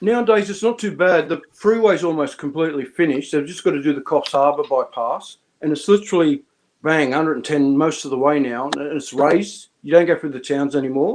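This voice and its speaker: In an Australian accent, a man with a fairly high pitch speaks at a fairly quick pace with ordinary pitch variation. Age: 50s. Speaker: live stream host. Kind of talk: casual chat. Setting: live stream with chat.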